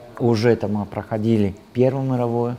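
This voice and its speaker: Over noticeable background noise, a man talks with an Italian accent. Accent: Italian accent in Russian. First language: Italian (speaking Russian). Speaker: translator and Italian teacher. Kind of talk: interview. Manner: halting, with many fillers.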